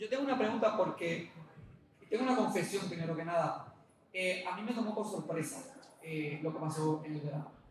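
A man's high-pitched voice, fairly quick and lively in intonation, with audible room echo and noticeable background noise. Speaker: writer. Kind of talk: reading aloud. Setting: stage with audience.

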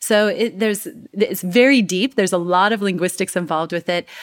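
On a very clean recording with a silent background, a woman with an unremarkable speaking voice and an American accent speaks at a fairly quick pace with ordinary pitch variation. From United States. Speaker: communication coach. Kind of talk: interview conversation.

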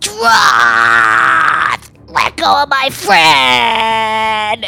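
A shouted, put-on character voice at a middle pitch, with very wide pitch swings. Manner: screaming, defiant.

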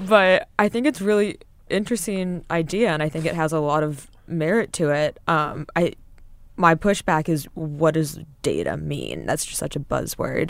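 A woman has an unremarkable speaking voice, fairly low in pitch, with ordinary pitch variation. She talks at a moderate pace on a very clean recording with a silent background. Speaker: financial news reporter. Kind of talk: casual conversation.

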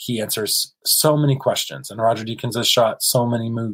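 With an American accent, the speaker shows ordinary pitch variation in a dry, close sound with no echo. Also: man. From US South (South Carolina and Kentucky). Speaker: cinematographer. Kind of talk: casual interview.

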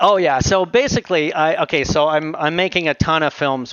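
Speaking with a Canadian accent, a man uses an ordinary speaking voice, fairly high in pitch, with ordinary pitch variation at a moderate pace. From Canada, Ontario (Aurora, north of Toronto). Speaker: VFX supervisor and filmmaker. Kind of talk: interview conversation.

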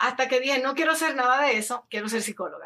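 A woman talks with a bright, sharp tone at a high pitch. Her pitch varies in an ordinary way. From Dominican Republic. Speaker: lifestyle influencer and addiction counselor. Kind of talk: casual interview.

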